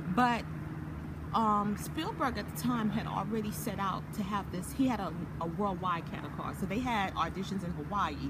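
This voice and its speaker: With loud background noise behind her, a woman speaks in an American accent at a moderate pace. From US Virgin Islands. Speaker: actress and entrepreneur. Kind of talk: casual interview. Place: garden. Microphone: phone near.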